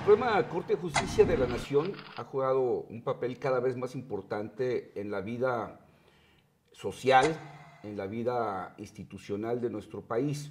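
Speaking fairly slowly with a Mexican accent, a man shows big swings in loudness and ordinary pitch variation over light background noise. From Mexico. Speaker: TV interviewer. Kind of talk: interview. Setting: TV studio. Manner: halting. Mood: calm, formal. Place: studio. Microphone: lapel.

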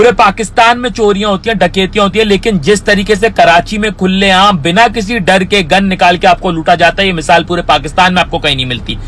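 A man talks at a moderate pace with a high pitch, ordinary pitch variation and hardly any pauses. Music plays in the background, and the sound is dry with no echo. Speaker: vlogger giving his opinion. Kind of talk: angry opinion rant to camera. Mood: angry, indignant. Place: car. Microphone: phone near.

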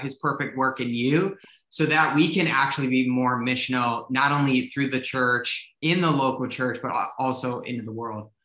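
The tone is bright and sharp, the intonation fairly even, and room echo can be heard over a quiet background. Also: man. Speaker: ministry director and show host; co-host interviewer. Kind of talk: casual chat. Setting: video call. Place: home room. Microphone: video call.

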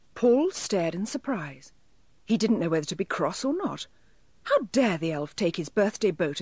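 The reading aloud, in a natural voice, moves with lively intonation.

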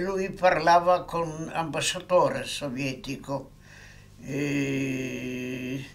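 Very slow delivery with ordinary pitch variation marks this speech. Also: man. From Poland. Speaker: war veteran. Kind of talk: interview answer. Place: home room.

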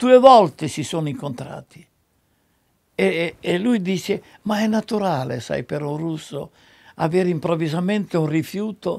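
Against a quiet background, a man with a high pitch speaks at a fairly slow pace with lively intonation. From Italy, Romagna. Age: 80s+. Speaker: screenwriter. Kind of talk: interview answer. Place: home room.

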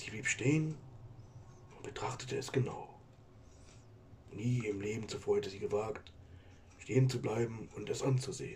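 Clear background noise runs under the clip. A man does a cartoonish character voice at a medium pitch and a moderate pace. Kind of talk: spooky story narration. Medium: puppet.

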